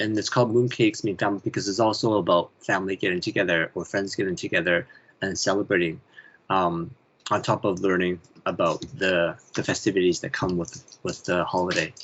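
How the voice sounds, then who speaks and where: A man's very deep, low pitch with fairly even intonation at a fairly quick pace. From Canada. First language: Chinese. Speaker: children's author and illustrator. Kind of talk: interview.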